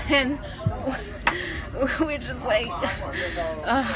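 Music plays clearly behind the voice. A woman talks at a fairly slow pace. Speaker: traveler vlogger. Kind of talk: casual vlog chat. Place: train. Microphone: phone near.

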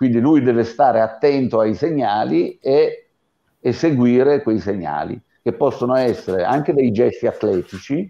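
A man talks at a moderate pace with a medium pitch and a dark, mellow tone. His intonation is lively. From Abruzzo, Italy. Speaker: sports scientist and fitness coach; fitness coach. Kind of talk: webinar lecture. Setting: online video webinar. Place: home room. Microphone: earbuds.

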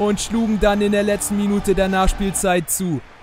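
Noticeable background noise sits under this man as he talks at a moderate pace. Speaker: YouTuber gaming channel host. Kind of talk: sports commentary over FIFA game highlights. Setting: voiceover recorded for a video.

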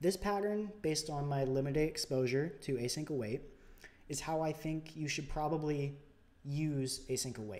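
A soft-spoken man talks at a moderate pace with ordinary pitch variation. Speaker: programming tutorial YouTuber. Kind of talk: tutorial. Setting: home recording with new microphone, screen capture. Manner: soft-spoken, somewhat unenthusiastic; informal, explanatory.

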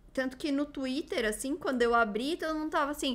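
Raising and projecting her voice, a woman speaks at a high pitch with a bright, sharp tone and ordinary pitch variation. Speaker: youtuber. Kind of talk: casual chat. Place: home room. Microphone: studio mic.

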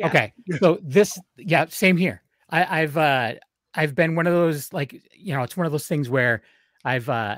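With lively intonation, a man speaks at a fairly quick pace in a dry sound with no echo. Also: quiet background. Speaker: podcast host. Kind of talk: casual interview chat. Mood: enthusiastic, friendly. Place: home room. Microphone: studio mic.

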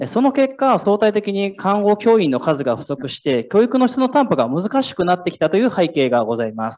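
A man talks at a fairly quick pace in a high pitch, his voice making very wide pitch swings. The background is quiet. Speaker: startup founder, former nurse and nursing teacher; nursing teacher. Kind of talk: startup pitch. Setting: stage with audience. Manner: formal. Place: hall.

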